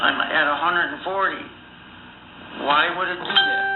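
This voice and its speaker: A man's high-pitched voice with fairly even intonation, amid audible room echo and noticeable background noise. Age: 60s. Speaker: diabetes patient. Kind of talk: casual chat. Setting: phone call.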